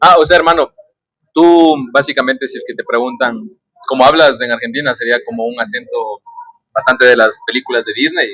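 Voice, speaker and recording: A man speaks at a fairly quick pace. He leaves long, frequent pauses. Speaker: podcast host. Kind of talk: casual chat. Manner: animated.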